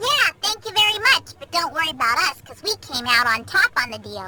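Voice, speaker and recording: A put-on character voice, high and squeaky, moves at a fairly quick pace with very wide pitch swings. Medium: fan dub. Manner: wisecracking, sarcastic.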